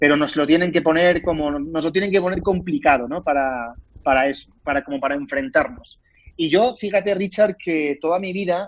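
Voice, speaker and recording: This is a man with a Spanish accent. He talks at a fairly quick pace. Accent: Spanish (Spain). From Spain. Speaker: actor. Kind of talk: interview.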